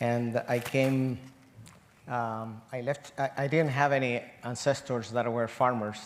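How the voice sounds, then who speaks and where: At a fairly slow pace, a man talks at a medium pitch with monotone, flat intonation. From Chile. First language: Spanish. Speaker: agroecology professor. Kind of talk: panel discussion.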